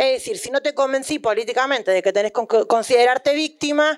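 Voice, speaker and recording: The speaker is a woman. Her voice rises and falls with ordinary pitch variation. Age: 30s. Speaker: sex workers' union leader and author. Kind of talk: book presentation talk.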